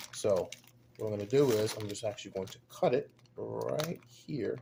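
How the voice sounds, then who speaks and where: At a moderate pace, a man speaks as noticeable background noise carries on behind him. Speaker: dumpster diving and scrap metal video creator. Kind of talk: casual tutorial unboxing. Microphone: camera's built-in microphone.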